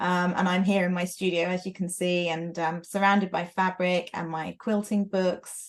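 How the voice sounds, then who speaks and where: A moderate pace with monotone, flat intonation. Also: woman. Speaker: quilter and author. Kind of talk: casual chat. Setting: video call from her sewing studio.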